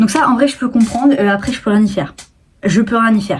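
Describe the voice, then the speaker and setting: This woman's voice is somewhat breathy and fairly high. Her pitch varies in an ordinary way. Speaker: YouTuber and TikTok creator. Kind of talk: casual vlog talk to camera. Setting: filming at home on tripod. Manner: chatty, many fillers.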